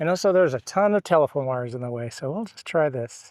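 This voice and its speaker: Against a quiet background, a man with an ordinary speaking voice talks at a fairly quick pace with lively intonation, in a dry, close sound with no echo. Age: 60s. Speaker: travel and photography vlogger. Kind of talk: casual vlog monologue. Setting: outdoors.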